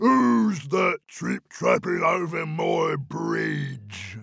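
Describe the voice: A man puts on a raspy character voice. He speaks very slowly.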